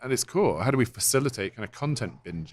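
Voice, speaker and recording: A man with an English accent, in a very clean recording against a silent background. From England. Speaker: software company co-founder. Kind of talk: interview. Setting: conference.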